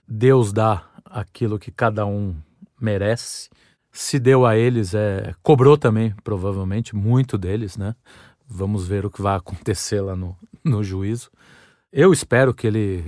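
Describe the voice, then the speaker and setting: Recorded very cleanly against a silent background, a man with a fairly low voice speaks at a fairly slow pace with ordinary pitch variation and a dry, close sound with no echo. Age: 40s. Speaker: podcast host. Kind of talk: solo monologue, casual storytelling. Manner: halting, repeated words.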